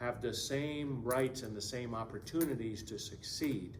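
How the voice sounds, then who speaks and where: A man speaks at a medium pitch with vocal fry and a non-native accent. Audible room echo is present. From Latin America. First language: Spanish. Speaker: political candidate. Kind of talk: political Q&A answer. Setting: community event in school room.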